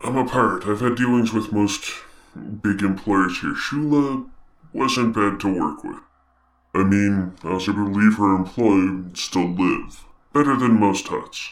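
Putting on a character voice, a man talks at a moderate pace in a fairly low pitch. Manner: gruff, folksy, rambling.

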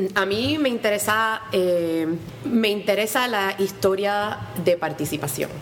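Over music in the background, a woman of medium pitch talks at a very slow pace with lively intonation. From Puerto Rico. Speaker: history professor and author. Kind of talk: radio interview.

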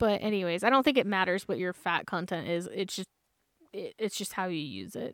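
A woman at medium pitch with an ordinary speaking voice, a fairly quick pace and ordinary pitch variation, dry and close with no echo, on a very clean recording with a silent background. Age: 30s. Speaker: student and podcast co-host. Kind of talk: casual chat. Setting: outdoors at a campground.

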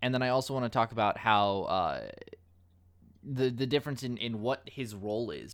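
Using lively intonation, a man talks at a medium pitch. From United States. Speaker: podcast host. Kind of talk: casual chat.

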